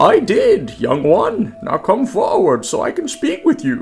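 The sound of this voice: In a put-on character voice, a man speaks raspy and croaky at an extremely high pitch and fairly slow pace, with faint music in the background.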